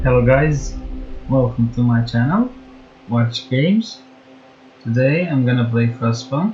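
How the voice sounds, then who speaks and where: Music plays behind a man with a non-native accent who speaks fairly slowly with long, frequent pauses. His medium pitch shows ordinary variation, and his loudness stays very even. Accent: non-native English, mispronounces words. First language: not English. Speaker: gaming YouTuber. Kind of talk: gameplay commentary with partly read-out facts. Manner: halting, frequent self-corrections.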